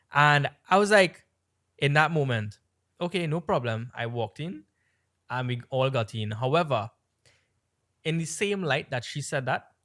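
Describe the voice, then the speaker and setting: A man with an American accent speaks in an animated, bright, sharp tone at a fairly high pitch. He leaves long, frequent pauses, and the very clean recording has a silent background. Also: lively intonation, moderate pace. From Trinidad. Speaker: podcast co-host. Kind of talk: casual chat.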